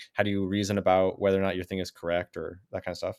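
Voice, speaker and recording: A man with a fairly low pitch talks at a very fast pace on a very clean recording with a silent background. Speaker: graduate student researcher. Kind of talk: casual conversation.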